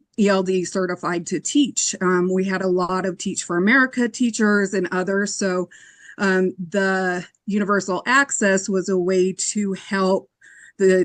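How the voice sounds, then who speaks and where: A woman with a plain, everyday voice speaks fairly slowly at medium pitch, her intonation fairly even. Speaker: educator, committee applicant. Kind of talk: interview.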